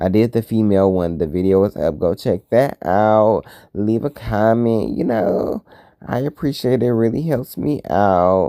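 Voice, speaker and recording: Speaking at a fairly slow pace, a man uses a fairly low pitch with ordinary variation and a dark, mellow tone. The recording is very clean and silent in the background, with a dry, close sound and no echo. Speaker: craft YouTuber. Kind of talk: tutorial. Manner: occasional stutter; casual, chatty.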